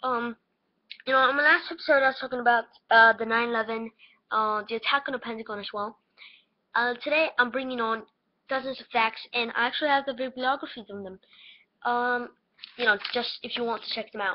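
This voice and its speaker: Squeaky and high-pitched, a woman talks at a fairly quick pace with fairly even intonation, long, frequent pauses and big swings in loudness. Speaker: conspiracy theory vlogger. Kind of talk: casual webcam monologue. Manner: halting, many fillers.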